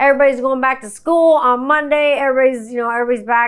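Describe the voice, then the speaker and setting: A woman's animated, very fast speech in a very clean recording with a silent background. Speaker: podcast host. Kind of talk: casual monologue.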